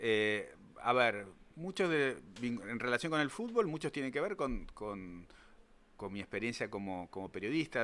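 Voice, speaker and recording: At a moderate pace, a man speaks in a Rioplatense accent. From Argentina, Buenos Aires (Pompeya). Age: 60s. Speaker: writer and journalist. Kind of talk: interview. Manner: halting, many fillers.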